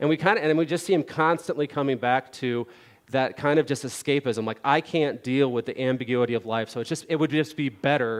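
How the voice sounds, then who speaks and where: Very fast speech from a man, fairly high in pitch with ordinary pitch variation, against a quiet background. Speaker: Bible teacher. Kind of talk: Bible study lesson. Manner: casual, filler-heavy.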